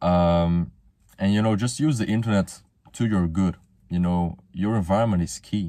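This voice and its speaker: A man speaks with a Flemish accent in a very deep, low pitch. His tone is dark and mellow, and his intonation stays fairly even. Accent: Belgian (Flemish) accent in English. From Belgium. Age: 20s. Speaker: motivational youtuber. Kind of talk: casual monologue. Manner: casual, slangy.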